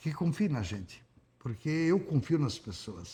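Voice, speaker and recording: Somewhat breathy, a man talks at a moderate pace in a fairly high pitch with very wide pitch swings. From Rio Grande do Sul, Brazil. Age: 70s. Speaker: politician, former mayor. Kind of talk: interview.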